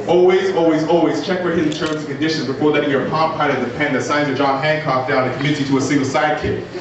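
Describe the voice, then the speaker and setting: Over noticeable background noise, a man talks very fast with a fairly high pitch. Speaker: spoken word poet. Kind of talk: live spoken word poetry performance. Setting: live venue.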